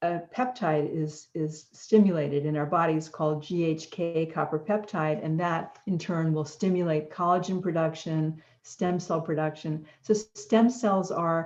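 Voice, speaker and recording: At a fairly slow pace with hardly any pauses, a woman talks in an ordinary speaking voice with ordinary pitch variation. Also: fairly low pitch for a woman. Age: 60s. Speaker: wellness author and guest. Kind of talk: interview.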